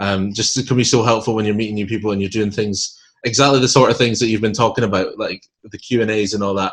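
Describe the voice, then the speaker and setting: A man with a Scottish accent speaks very fast in a fairly low pitch, his intonation flat and monotone. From Scotland. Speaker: podcast host. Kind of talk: casual interview chat.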